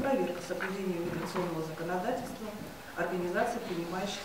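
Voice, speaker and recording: A woman talks very fast amid noticeable background noise and audible room echo. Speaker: official giving a report. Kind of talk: official report read aloud. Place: hall. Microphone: podium.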